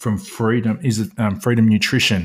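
A man talks with an Australian accent. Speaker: podcast host. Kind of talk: casual interview chat.

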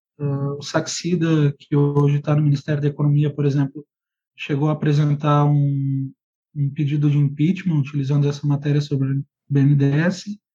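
A man talks at a moderate pace in a fairly high, somewhat breathy voice with a dark, mellow tone, monotone, flat intonation and very even loudness. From Brazil, Rio Grande do Sul and Ceará. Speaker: political writer and editor. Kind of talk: interview.

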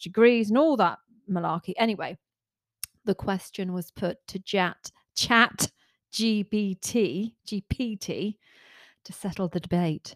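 A plain, everyday voice, at a fairly slow pace with ordinary pitch variation, sounds dry and close, with no echo, on a very clean recording with a silent background. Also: woman. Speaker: podcast co-host. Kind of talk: casual chat.

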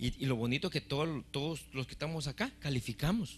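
Music plays behind a man speaking at a fairly quick pace. His pitch is fairly high for a man, and his intonation is lively. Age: 50s. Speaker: pastor. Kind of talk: sermon. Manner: animated.

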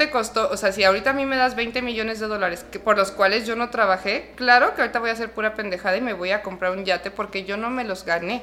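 In a Mexican accent, the speaker talks at a very fast pace with hardly any pauses and ordinary pitch variation. Noticeable background noise is present. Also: woman. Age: 30s. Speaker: clinical psychologist. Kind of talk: interview. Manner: animated.

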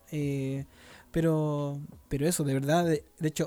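A man with a Chilean accent speaks in a fairly high pitch, his tone dark and mellow and his intonation monotone and flat. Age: 20s. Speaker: podcast host, mission base worker. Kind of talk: casual chat. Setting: recorded at home on mission base.

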